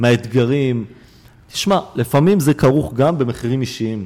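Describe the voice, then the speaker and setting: Dark, mellow male tone, captured very cleanly against total silence. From Israel. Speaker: nonprofit founder working with Haredi youth. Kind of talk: interview. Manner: halting, many repetitions and fillers.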